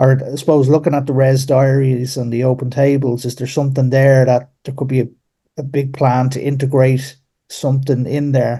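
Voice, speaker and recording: In an Irish accent, a man speaks at medium pitch and a moderate pace, his dark, mellow tone somewhat breathy and his intonation monotone and flat. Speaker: caller. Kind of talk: casual chat. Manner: halting.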